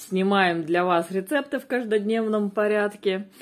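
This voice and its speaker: Against a quiet background, a woman's speech carries ordinary pitch variation. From Russia. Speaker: family vlogger. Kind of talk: casual vlog monologue; tutorial. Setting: at home. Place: home room.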